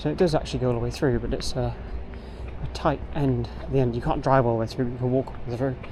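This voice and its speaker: A man rattles along at a very fast pace as noticeable background noise carries on. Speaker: street photography vlogger. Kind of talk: casual vlog narration while walking. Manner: animated.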